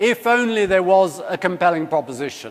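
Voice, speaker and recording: A man with a British accent talks at a very fast pace and a high pitch. His intonation is lively, and noticeable background noise runs underneath. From UK. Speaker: company executive. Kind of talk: conference keynote talk.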